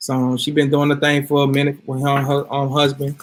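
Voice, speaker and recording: The man's voice is fairly high in pitch. His intonation stays monotone and flat. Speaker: health products video host. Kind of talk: casual talk to viewers. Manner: loud.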